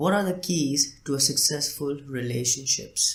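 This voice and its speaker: The man's voice is somewhat breathy and fairly high. His pitch varies in an ordinary way. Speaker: podcast host. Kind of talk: solo podcast talk. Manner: hesitant, many fillers.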